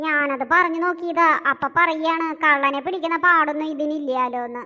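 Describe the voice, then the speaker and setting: A woman does a cartoonish character voice at an extremely high pitch. Her intonation stays fairly even at a moderate pace. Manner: chatty.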